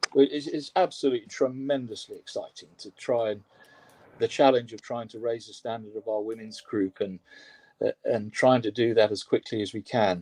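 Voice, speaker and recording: With an English accent, a man speaks at a fairly quick pace and medium pitch, his tone dark and mellow, his pitch variation ordinary, and the sound dry and close with no echo. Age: 60s. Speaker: rowing coach. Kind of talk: interview. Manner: halting.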